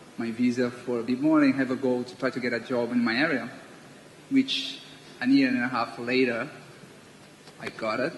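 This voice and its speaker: With noticeable background noise behind him, a man speaks at a moderate pace in a monotone, flat intonation, leaving long, frequent pauses. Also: medium pitch for a man. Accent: Brazilian Portuguese. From Brazil. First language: Portuguese. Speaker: international student panelist. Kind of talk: panel talk.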